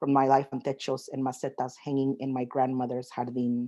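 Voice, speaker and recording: Behind the voice, things stay quiet. Delivery comes at a moderate pace. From Mexico, raised in Southern California and Las Vegas. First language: Spanish. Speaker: poet. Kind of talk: casual chat; reading aloud. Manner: halting.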